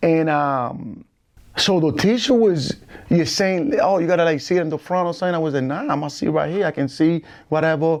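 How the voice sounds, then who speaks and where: This man's fairly high voice moves with ordinary pitch variation at a fairly quick pace. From Puerto Rico, San Juan; moved to Holyoke, Massachusetts as a child. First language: Spanish. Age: 40s. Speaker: former gang member. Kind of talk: casual interview chat. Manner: halting.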